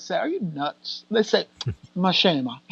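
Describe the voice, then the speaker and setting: A woman in an American accent speaks at a fairly quick pace. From United States. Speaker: actress and filmmaker. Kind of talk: interview. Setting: podcast. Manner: animated.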